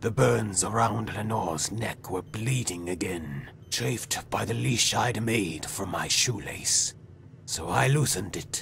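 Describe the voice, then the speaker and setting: Over clear background noise, a man in a put-on character voice speaks fairly slowly at a fairly low pitch. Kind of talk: dramatic monologue. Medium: video game.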